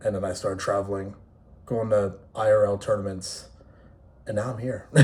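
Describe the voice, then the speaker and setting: A man with an American accent speaks at a fairly low pitch in a flat monotone. The room echo is audible. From New York City area. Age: 20s. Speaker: esports player and content creator. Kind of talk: casual vlog monologue. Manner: casual, unscripted with pauses.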